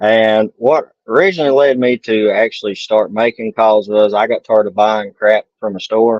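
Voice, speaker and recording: A man at a medium pitch and moderate pace, with fairly even intonation and hardly any pauses. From southwest Virginia, Appalachia. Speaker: turkey call maker. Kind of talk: casual interview. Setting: podcast. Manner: folksy dialect speech.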